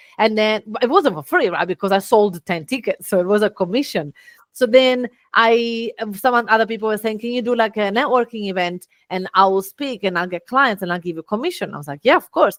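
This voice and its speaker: Lively intonation and a fairly quick pace mark this speech in an Italian accent, with a dry, close sound and no echo. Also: woman. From Italy. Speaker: business owner and speaker. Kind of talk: podcast interview.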